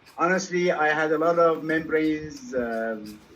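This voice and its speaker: This man has an unremarkable speaking voice with a fairly high pitch. His intonation is lively. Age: 60s. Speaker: dentist. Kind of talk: casual chat.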